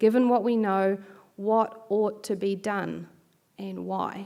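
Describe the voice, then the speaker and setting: A woman with a New Zealand accent, medium pitch, fairly even intonation and a fairly slow pace, in a very clean recording with a silent background. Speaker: bioethics researcher. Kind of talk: keynote lecture.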